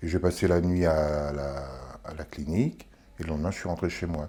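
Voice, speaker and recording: Dark and mellow in tone, a man speaks at a fairly quick pace. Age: 60s. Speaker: kidney patient. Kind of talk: interview testimony. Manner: hesitant, with filler words.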